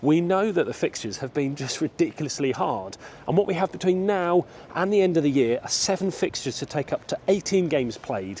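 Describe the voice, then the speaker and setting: An English accent marks this man's speech. His intonation is lively and his pitch fairly high. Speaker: football vlogger. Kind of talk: walking vlog match preview. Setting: outdoors walking around a stadium. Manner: casual, conversational.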